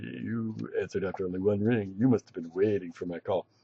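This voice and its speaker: A man puts on a character voice at a fairly low pitch. He delivers it at a very fast pace. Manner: cocky, smug.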